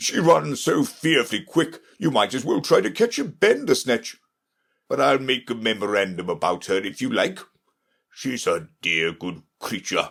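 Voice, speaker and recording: Putting on a character voice, a man sounds nervous as he speaks at a moderate pace and a medium pitch. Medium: read story. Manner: nervous, muttering.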